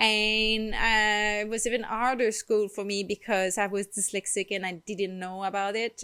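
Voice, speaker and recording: A fairly high-pitched woman's voice in a Quebec accent, at a fairly slow pace, on a very clean recording with a silent background. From Quebec, rural farm. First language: French. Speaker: holistic wellness vlogger. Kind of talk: personal vlog storytelling. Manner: frequent hesitations with um.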